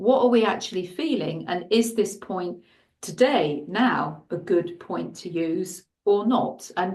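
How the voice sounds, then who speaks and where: A woman with an English accent speaks at a very slow pace. Her medium pitch has ordinary variation, with audible room echo. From England. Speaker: shiatsu and Chinese medicine practitioner. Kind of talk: interview. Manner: halting.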